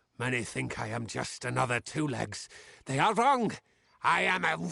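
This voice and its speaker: Growling in a put-on character voice, a man speaks at a moderate pace with a medium pitch. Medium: video game. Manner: blunt, simple phrasing.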